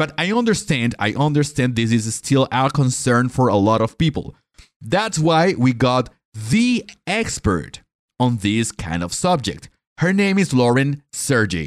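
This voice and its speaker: A man's fairly slow speech with very wide pitch swings, on a very clean recording with a silent background. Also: medium pitch for a man. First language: Spanish. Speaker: podcast host. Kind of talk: interview conversation. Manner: hesitant, many fillers.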